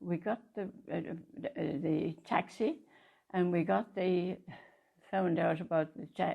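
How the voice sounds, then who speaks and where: A woman's fairly low voice with vocal fry. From Ireland. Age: 80s+. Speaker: retired missionary nun. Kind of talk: interview answer.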